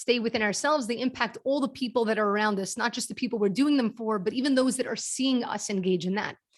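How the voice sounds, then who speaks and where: This voice carries a Brooklyn accent. The pitch varies in an ordinary way. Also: woman. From US, Brooklyn New York. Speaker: kindness nonprofit founder and speaker. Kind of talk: presentation to a networking group.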